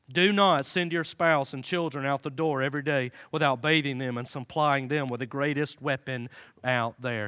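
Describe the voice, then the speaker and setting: A very clean, silent-background recording of a man with a fairly high pitch and a bright, sharp, animated tone. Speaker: pastor. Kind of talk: sermon. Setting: church with congregation. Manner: animated, fervent, rousing; rhythmic, repeating words for emphasis ('Pray. Pray. Pray.').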